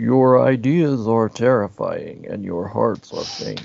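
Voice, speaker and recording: A man uses a put-on character voice at medium pitch, speaking at a fairly slow pace. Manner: ominous, stern.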